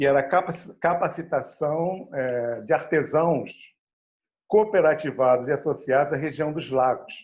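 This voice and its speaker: A man speaks at a fairly high pitch and a fairly slow pace. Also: ordinary pitch variation. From Rio de Janeiro state, Brazil (Baixada Fluminense). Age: 60s. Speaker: educator and cultural producer. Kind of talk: panel discussion talk. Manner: halting, many fillers.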